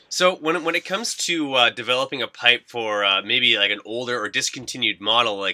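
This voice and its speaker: A man speaks with an upbeat, energetic tone that is bright and sharp, at a moderate pace with ordinary pitch variation. The sound is dry and close, with no echo. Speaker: radio podcast host. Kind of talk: casual interview with polished radio-style ad reads. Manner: upbeat, energetic, conversational, with fillers.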